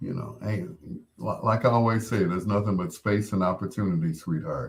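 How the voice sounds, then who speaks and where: With an ordinary speaking voice, a man talks at a fairly quick pace, his pitch fairly low with ordinary variation. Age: 60s. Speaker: radio host. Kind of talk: late-night radio show with live chat. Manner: casual, conversational.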